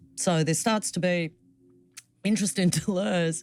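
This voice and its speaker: This woman has an Australian accent. She speaks at a moderate pace. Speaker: philosophy professor. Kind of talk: academic interview. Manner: hesitant fillers.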